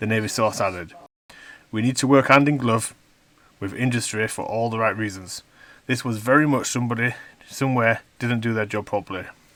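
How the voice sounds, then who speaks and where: With a strong Yorkshire accent, a man at medium pitch speaks at a fairly quick pace, broken by long, frequent pauses. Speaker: news commentator on a video channel. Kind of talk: reading aloud a news article with commentary. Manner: animated, indignant.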